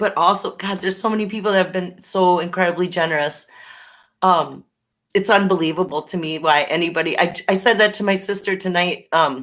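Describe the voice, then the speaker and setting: On a very clean recording with a silent background, a woman with a Minnesota accent speaks at a fairly quick pace in a medium pitch. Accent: Minnesota accent with Canadian-sounding A. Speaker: live-stream chat host. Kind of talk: casual live chat. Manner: animated.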